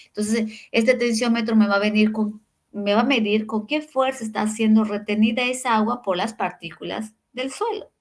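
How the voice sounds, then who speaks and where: Her pitch fairly high, a woman speaks at a moderate pace with fairly even intonation. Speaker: university lecturer. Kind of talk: lecture. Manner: halting.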